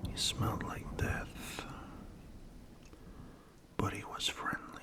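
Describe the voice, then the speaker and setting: Noticeable background noise sits behind a man whispering. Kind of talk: ASMR horror story narration.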